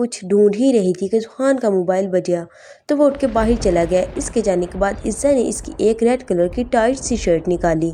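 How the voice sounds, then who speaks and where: A woman talks in an ordinary speaking voice at medium pitch. Her pitch variation is ordinary. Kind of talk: romance novel story narration.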